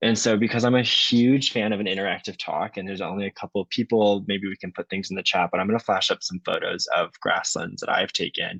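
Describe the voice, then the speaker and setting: Speaking very fast with an American accent, a man comes through in a dry, close sound with no echo. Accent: strong Wisconsin accent, occasionally. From US Midwest, Wisconsin. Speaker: PhD candidate, ecologist. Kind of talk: lecture. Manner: conversational, filler-heavy.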